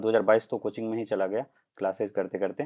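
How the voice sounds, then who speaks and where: A man's fairly low voice with a Bihar accent. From Bihar, Madhubani district (Mithila region). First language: Maithili (speaking Hindi). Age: 20s. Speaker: civil services exam topper. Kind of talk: live interview / Q&A. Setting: livestream. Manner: hesitant, frequent filler 'uh'.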